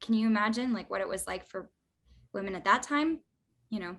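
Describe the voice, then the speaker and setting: A woman with a bright, sharp tone and lively intonation. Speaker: actress. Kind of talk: interview. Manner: lots of fillers like 'like' and 'um'.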